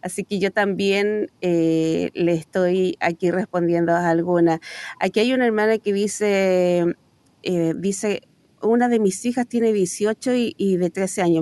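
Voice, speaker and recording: The voice has a dark, mellow tone and moves at a fairly slow pace. The sound is dry and close, with no echo. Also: woman. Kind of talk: reading listener questions.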